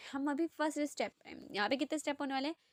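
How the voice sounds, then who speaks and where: The recording has a dry, close sound with no echo. A woman talks. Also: very clean recording, silent background. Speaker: youtuber sharing job vacancies. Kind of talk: screen-share tutorial. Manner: casual, conversational.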